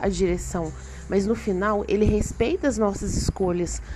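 Moderately paced, a woman speaks amid noticeable background noise. Room echo can be heard too. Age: 30s. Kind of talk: devotional monologue.

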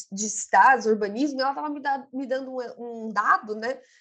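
A woman with a high pitch and lively intonation talks at a moderate pace. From Itaquera, East Zone of São Paulo, Brazil. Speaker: podcast co-host. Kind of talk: casual chat about readings.

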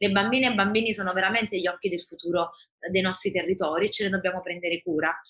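A woman's very fast delivery, her loudness very even and her intonation fairly even. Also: medium pitch for a woman. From Naples, Italy. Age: 30s. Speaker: politician. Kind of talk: interview.

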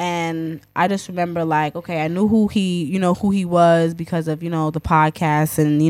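A woman's fairly low voice in a New York accent, monotone and flat, on a very clean recording with a silent background. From Queens, New York. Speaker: DJ. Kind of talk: casual chat.

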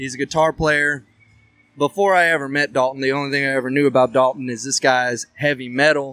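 A man with a Texan accent speaks at a fairly quick pace, with a fairly high pitch and fairly even intonation. His tone is bright and sharp, and the sound is dry and close with no echo. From Texas, Huffman. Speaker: country singer and bandleader. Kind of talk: casual chat.

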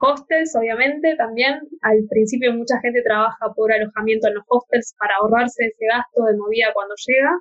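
This woman has an ordinary speaking voice, talking at a moderate pace with ordinary pitch variation and hardly any pauses. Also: fairly high pitch for a woman. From Argentina. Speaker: podcast host. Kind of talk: casual chat.

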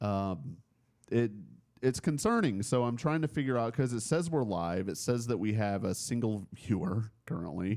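A man speaks in an ordinary speaking voice at a medium pitch. His intonation is lively. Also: moderate pace. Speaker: podcast host. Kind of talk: casual chat.

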